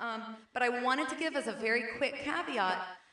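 Room echo is audible here. A woman speaks with a fairly high pitch. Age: 40s. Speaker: preacher. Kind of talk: sermon. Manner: halting.

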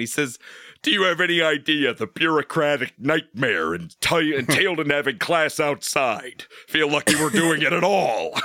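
This man talks at a moderate pace with a fairly high pitch, a bright, sharp tone and some vocal fry. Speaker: podcast co-host. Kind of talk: casual chat. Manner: animated.

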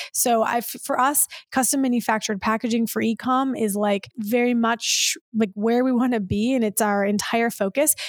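On a very clean recording with a silent background, a woman with an American accent speaks at a moderate pace in a fairly high voice. Her loudness stays very even, her intonation fairly even, and she hardly pauses. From Michigan. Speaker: startup founder and CEO. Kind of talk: interview. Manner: halting.

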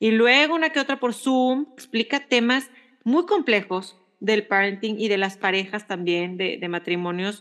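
A woman speaks in a plain, everyday voice at a fairly high pitch. Her intonation is lively and her pace fairly slow. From Mexico. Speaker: podcast co-host. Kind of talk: casual chat.

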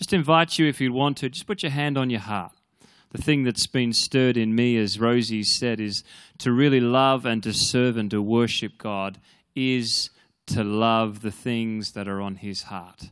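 The recording is very clean and the background silent. On it, a man talks with an Australian accent. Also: medium pitch for a man, ordinary pitch variation, moderate pace. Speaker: pastor. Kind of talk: prayer and church announcements. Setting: church.

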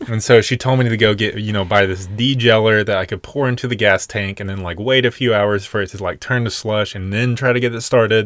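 In an ordinary speaking voice, a man with an American accent talks at a fairly quick pace with hardly any pauses, fairly low in pitch and fairly even in intonation, on a very clean recording with a silent background. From US South, Nashville, Tennessee. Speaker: podcast co-host, van lifer. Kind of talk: casual chat.

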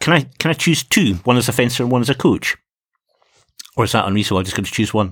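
A man with a Scottish accent speaks very fast in a medium pitch with lively intonation, yet with long, frequent pauses. The sound is dry and close, with no echo. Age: 50s. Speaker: fencing coach and podcast host. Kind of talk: casual chat.

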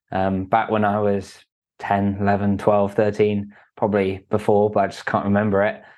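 This man has an English accent. His voice sits at a fairly low pitch. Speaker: entrepreneur. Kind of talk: interview.

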